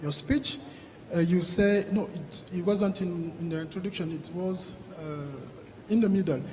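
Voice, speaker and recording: Noticeable background noise sits behind a man with a high pitch. He speaks at a fairly slow pace with ordinary pitch variation. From Africa. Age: young. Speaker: audience member asking a question. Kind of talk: Q&A question from the floor. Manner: halting, many repetitions and hesitations.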